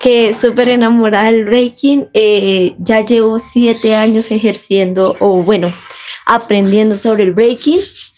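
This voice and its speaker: With very even loudness and fairly even intonation, the speaker moves at a fairly slow pace over noticeable background noise. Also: woman, fairly high pitch for a woman. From Colombia, Bogotá. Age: 20s. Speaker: breakdancer and mother. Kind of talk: interview.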